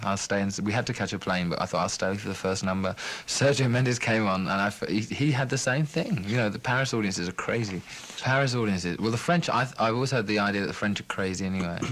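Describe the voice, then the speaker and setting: At a very fast pace, a man speaks in a fairly low pitch with ordinary pitch variation over noticeable background noise. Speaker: musician. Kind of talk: interview answer. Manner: soft-spoken, calming.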